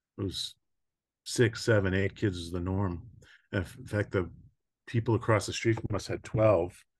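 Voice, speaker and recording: Over a quiet background, a man speaks at a moderate pace and sounds somewhat breathy. He leaves long, frequent pauses. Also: fairly low pitch for a man, fairly even intonation. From US, New York (Long Island). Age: 60s. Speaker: mental health and addiction counselor. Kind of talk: podcast interview, life story.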